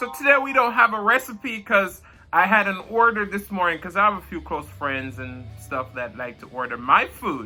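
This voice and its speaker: A man with a Jamaican accent projects a raised voice at a moderate pace, his pitch swinging very widely and his loudness rising and falling sharply. Music plays behind him. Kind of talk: mukbang eating show, casual talk to camera.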